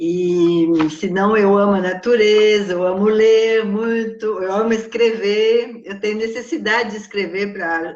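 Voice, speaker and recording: Over noticeable background noise and audible room echo, a woman with a Brazilian accent speaks fairly slowly at medium pitch with fairly even intonation. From France. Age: 60s. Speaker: psychologist and writer. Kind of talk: interview.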